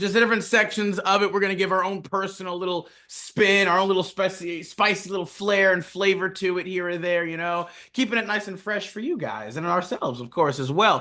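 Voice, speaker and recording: A man with a high pitch talks fairly quickly in a raised, projected voice, with a bright, sharp tone and ordinary pitch variation. He takes hardly any pauses. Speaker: podcast co-host. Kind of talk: casual podcast talk.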